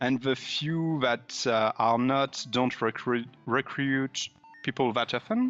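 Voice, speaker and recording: Over music in the background, a man with a French accent speaks at a very slow pace with fairly even intonation. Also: medium pitch for a man, very even loudness. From France. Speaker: indie game developer, pixel artist. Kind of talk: casual interview chat.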